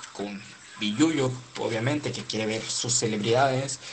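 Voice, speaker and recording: A man with fairly even intonation is heard with audible room echo and noticeable background noise. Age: 20s. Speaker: youtuber. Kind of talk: casual chat. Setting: video call.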